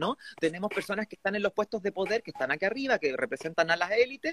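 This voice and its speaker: Recorded dry and close with no echo, a man speaks with ordinary pitch variation. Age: 30s. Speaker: constituent assembly candidate. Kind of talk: interview.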